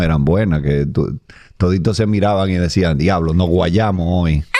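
Audible room echo surrounds a man speaking with a Dominican accent at a fairly slow pace, his very deep, low pitch carrying a dark, mellow tone and ordinary pitch variation. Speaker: comedian and podcast host. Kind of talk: casual interview chat.

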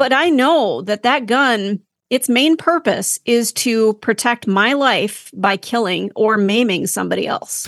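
A normal speaking voice with an American accent moves at a fairly slow pace with hardly any pauses, ordinary pitch variation and very even loudness, in a dry, close sound with no echo. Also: woman, fairly high pitch for a woman. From Minnesota. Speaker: podcast co-host. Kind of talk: casual discussion.

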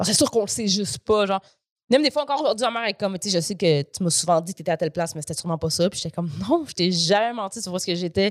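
Speaking at a very fast pace with lively intonation, a woman at a medium pitch is heard in a dry, close sound with no echo, on a very clean recording with a silent background. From Quebec. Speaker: comedian. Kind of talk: casual chat.

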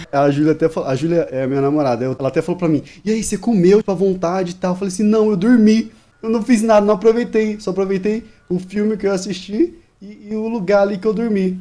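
A man talks at a very fast pace with a high pitch. His tone is dark and mellow, and his pitch varies in an ordinary way. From Brazil, Maranhão (Northeast). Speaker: podcast audio editor. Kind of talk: casual chat.

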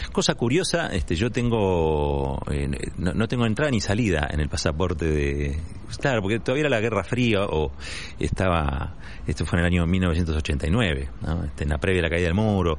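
Over noticeable background noise and audible room echo, a man with a very deep, low pitch speaks at a moderate pace with lively intonation. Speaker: interviewee. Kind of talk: testimony.

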